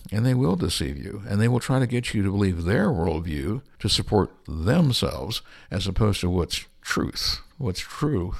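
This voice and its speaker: A man with an American accent speaks at a moderate pace in a fairly low pitch, using an ordinary speaking voice on a very clean recording with a silent background. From US West Coast (Berkeley, California). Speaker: creationist scientist and missionary. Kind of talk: interview. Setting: studio.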